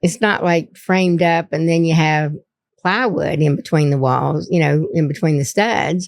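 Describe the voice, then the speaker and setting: This voice has an Appalachian accent, ordinary pitch variation and very even loudness. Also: woman, fairly low pitch for a woman, moderate pace. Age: 60s. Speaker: local historian and author. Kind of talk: interview. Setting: studio. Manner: halting.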